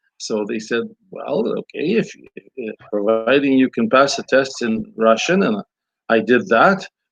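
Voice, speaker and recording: Recorded with a dry, close sound and no echo, a man with a Ukrainian accent speaks at a fairly slow pace and medium pitch, his pitch swinging very widely. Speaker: priest and scholar. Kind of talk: interview. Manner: halting.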